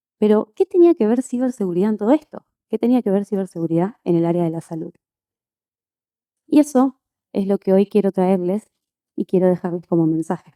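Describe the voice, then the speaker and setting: With an Argentine accent, a woman speaks fairly quickly in a dark, mellow tone with lively intonation and long, frequent pauses, the sound dry and close with no echo. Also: medium pitch for a woman. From Argentina. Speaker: conference speaker, physician and quality engineer. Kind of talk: conference talk.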